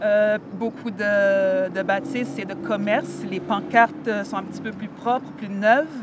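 A woman of medium pitch speaks at a fairly slow pace, with ordinary pitch variation and big swings in loudness, against noticeable background noise. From Montréal-Nord, Quebec. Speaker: rapper. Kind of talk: interview.

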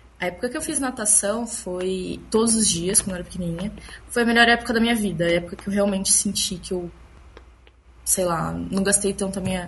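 A woman's plain, everyday voice at medium pitch, fairly quick in pace, with ordinary pitch variation. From Bauru, interior of São Paulo, Brazil. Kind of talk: casual group chat.

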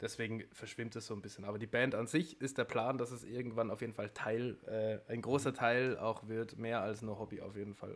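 Speaking in a monotone at medium pitch and a moderate pace, a man shows big swings in loudness. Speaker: musician. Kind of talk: casual chat.

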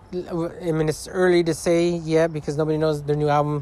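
Over noticeable background noise, a man talks at a fairly quick pace in a fairly high pitch with monotone, flat intonation. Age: 30s. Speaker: podcast host. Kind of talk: casual monologue. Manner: rambling with fillers.

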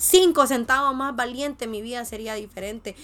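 On a very clean recording with a silent background, a woman speaks in an animated tone. Her pitch is high and her pace fairly quick. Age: 20s. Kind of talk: devotional monologue.

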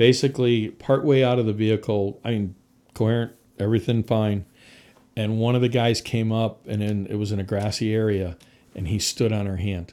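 With an American accent, a man uses a normal speaking voice at a fairly low pitch, moderate pace and fairly even intonation, on a very clean recording with a silent background. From US Northeast, Connecticut. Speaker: firefighter and fire equipment sales manager. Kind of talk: casual interview.

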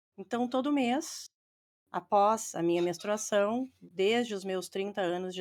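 In a very clean recording with a silent background, a woman speaks fairly slowly at a fairly high pitch with ordinary pitch variation. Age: 50s. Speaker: football fan and breast cancer survivor. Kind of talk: testimony.

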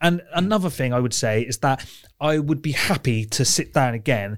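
With a British accent, a man talks at medium pitch on a very clean recording with a silent background. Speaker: film podcast co-host. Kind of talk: casual chat.

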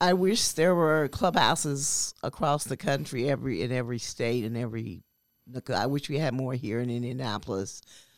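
A woman's very deep, low voice with lively intonation at a moderate pace, on a very clean recording with a silent background. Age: 60s. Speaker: mental health clubhouse member. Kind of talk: interview testimony. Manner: halting, many fillers.

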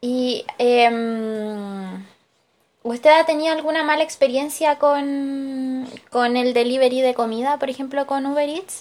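A woman's high-pitched voice at a very slow pace, with ordinary pitch variation. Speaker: student interviewer. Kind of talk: research interview.

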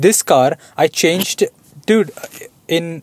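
This man's voice sits fairly high, with an animated tone and ordinary pitch variation. The sound is dry and close, with no echo. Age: 20s. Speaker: podcast co-host. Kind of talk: casual chat.

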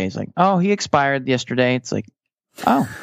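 Against a quiet background, a man with fairly high pitch, lively intonation and a normal speaking voice talks at a fairly quick pace. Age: 30s. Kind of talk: casual chat.

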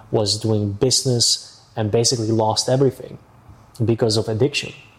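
There is noticeable noise behind this man. His voice is medium in pitch and flat, almost monotone. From Amsterdam, Netherlands. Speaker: real estate agent. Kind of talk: casual interview.

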